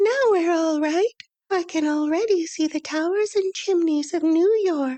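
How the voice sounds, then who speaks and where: Putting on a squeaky character voice at an extremely high pitch, a woman talks at a moderate pace with very even loudness. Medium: read story. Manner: brisk and practical.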